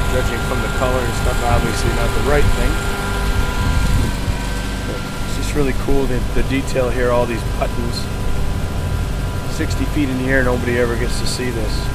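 Long, frequent pauses break up speech at a moderate pace, with a dry sound with no echo and loud background noise. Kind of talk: casual commentary. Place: open country. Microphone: phone near.

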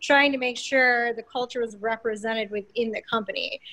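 Against a quiet background, a woman speaks at a fairly quick pace. Her high voice has a bright, sharp tone. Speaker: theme park employee. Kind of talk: casual book discussion. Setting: video call. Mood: relaxed, reflective. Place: home room.

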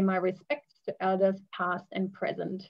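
A woman talks at a moderate pace. Nothing much sounds behind her. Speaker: community engagement advisor hosting webinar. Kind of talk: webinar host introduction. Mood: warm, friendly, smiling. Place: home room. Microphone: video call.

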